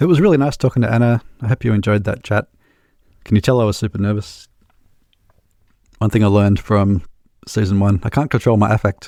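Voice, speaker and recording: Very fast and dark, mellow in tone, a man speaks at a fairly low pitch with ordinary pitch variation, very even loudness and long, frequent pauses. The sound is dry and close with no echo, on a very clean recording with a silent background. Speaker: podcast host. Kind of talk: interview.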